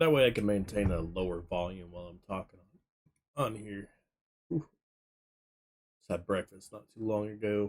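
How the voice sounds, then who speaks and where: Moderate pace, ordinary pitch variation, big swings in loudness and long, frequent pauses. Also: man, fairly low pitch for a man. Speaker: gaming streamer. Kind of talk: live game stream chat. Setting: home streaming setup with green screen. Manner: casual.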